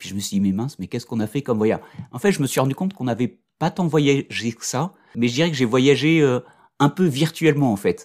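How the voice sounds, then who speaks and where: On a very clean recording with a silent background, a man talks at a very fast pace. His medium-pitched voice has lively intonation and a dry, close sound with no echo. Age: 40s. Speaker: consultant and coach, father of a daughter with Down syndrome. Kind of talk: interview testimony. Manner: hesitant, many fillers and repetitions.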